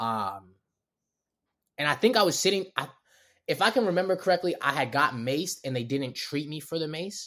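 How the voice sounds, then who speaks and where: In a Baltimore accent, a man with a fairly high pitch and a bright, sharp tone talks at a moderate pace with very wide pitch swings and long, frequent pauses, in a very clean recording with a silent background. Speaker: comedian. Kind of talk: casual chat.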